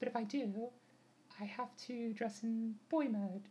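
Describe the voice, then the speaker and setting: A woman speaks with monotone, flat intonation. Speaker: vlogger. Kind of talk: casual vlog chat. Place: home room. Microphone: webcam.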